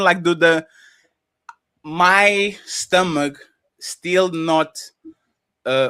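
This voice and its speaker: With a non-native accent, a man talks in an animated, bright and sharp tone with ordinary pitch variation, the sound dry and close with no echo. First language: not English. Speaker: panelist on a livestream talk show. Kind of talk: heated panel discussion.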